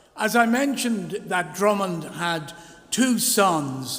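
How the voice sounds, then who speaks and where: Amid noticeable background noise and audible room echo, a man with a Dublin accent speaks at a fairly slow pace with ordinary pitch variation. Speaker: minister. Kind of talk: church service address. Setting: church.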